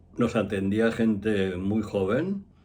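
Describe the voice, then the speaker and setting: Audible echo from the room colors the speech of a man. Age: 70s. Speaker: astrologer. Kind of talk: casual monologue.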